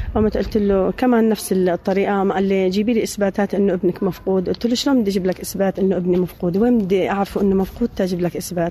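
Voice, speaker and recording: A woman with a medium pitch speaks fairly quickly in a monotone, flat intonation. Noticeable background noise runs beneath her voice. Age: 50s. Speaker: returnee from a detention camp. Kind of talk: testimony.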